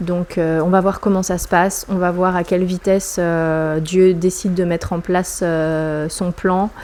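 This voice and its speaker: Her voice is fairly low for a woman, and her intonation is monotone and flat. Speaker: vlogger. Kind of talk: personal vlog monologue. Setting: at home. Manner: hesitant, many fillers.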